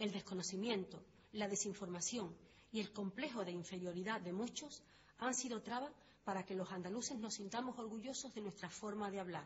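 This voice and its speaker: Using an unremarkable speaking voice, a woman talks at a fairly quick pace with a medium pitch and ordinary pitch variation. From Andalusia. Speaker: documentary narrator. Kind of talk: scripted narration. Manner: formal.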